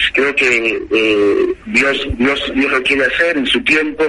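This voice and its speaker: A man speaks over noticeable background noise. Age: 40s. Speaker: pastor. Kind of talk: interview testimony.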